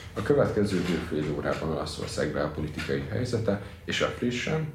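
Over noticeable background noise and audible room echo, a man talks at a moderate pace with ordinary pitch variation. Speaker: student podcast host. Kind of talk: interview.

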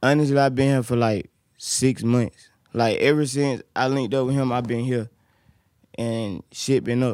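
A man with an ordinary speaking voice talks at moderate pace and medium pitch with fairly even intonation, the sound dry and close with no echo. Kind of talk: casual chat.

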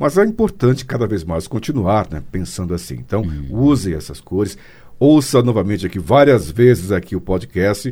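Fairly low and somewhat breathy, this man's voice has a dark, mellow tone. He speaks at a moderate pace with lively intonation. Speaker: radio host. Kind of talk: casual interview.

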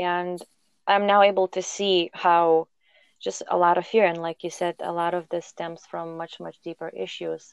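A woman's fairly low voice, monotone and flat, at a moderate pace with big swings in loudness, in a dry, close sound with no echo over a quiet background. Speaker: podcast host. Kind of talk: casual interview conversation.

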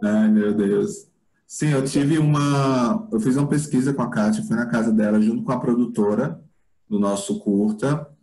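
At a fairly slow pace, the speaker uses lively intonation in a dark, mellow tone, holding a very even loudness. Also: man, medium pitch for a man. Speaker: film director. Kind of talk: casual interview. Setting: video call.

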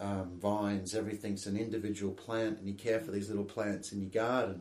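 A man speaks with an Australian accent. His voice is fairly low and monotone, with flat intonation. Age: young. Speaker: winegrower. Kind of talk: interview.

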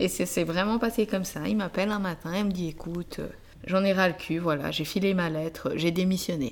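This woman has a plain, everyday voice at medium pitch. She talks at a fairly quick pace with ordinary pitch variation. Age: 30s. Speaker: podcast host. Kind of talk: interview conversation with spouse.

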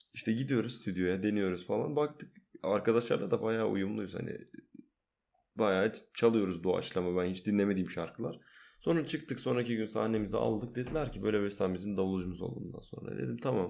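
A man talks at a fairly quick pace with lively intonation. His pitch is fairly low, and the background is quiet. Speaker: musician. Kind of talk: casual chat. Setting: home recording at night. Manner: loud.

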